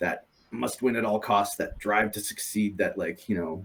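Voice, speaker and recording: Speaking at a fairly slow pace, a man with an American accent has a fairly low pitch. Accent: sounds American. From Europe. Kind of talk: interview. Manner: halting, many fillers and repeats.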